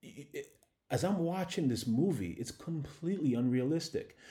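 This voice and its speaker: A man's fairly high, somewhat breathy voice with a dark, mellow tone, lively intonation, big swings in loudness and a moderate pace, on a very clean recording with a silent background. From Ghana. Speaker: podcast host. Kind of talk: monologue commentary.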